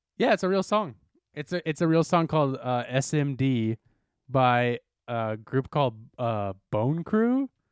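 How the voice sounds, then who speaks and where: In a very clean recording with a silent background and a dry, close sound with no echo, a man with an unremarkable speaking voice and fairly high pitch talks fairly slowly with lively intonation. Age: 20s. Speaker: podcast co-host. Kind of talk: casual chat.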